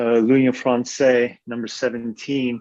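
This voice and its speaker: A man with a New York accent speaks at a very slow pace in a medium pitch. His intonation is monotone and flat. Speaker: Freemason, audience member asking question. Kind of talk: audience question in Q&A. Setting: video call. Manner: halting, many fillers.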